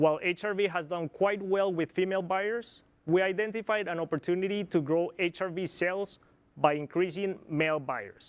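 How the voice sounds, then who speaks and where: A man speaks at a moderate pace with a Spanish accent. His pitch is high and his intonation fairly even. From Colombia. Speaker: product planner. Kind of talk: corporate presentation.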